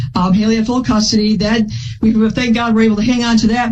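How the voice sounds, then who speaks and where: Noticeable background noise sits behind a woman who speaks fairly quickly, with a fairly high pitch and ordinary pitch variation. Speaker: plaintiff in a court case. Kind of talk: courtroom testimony. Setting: courtroom. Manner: loud; fast.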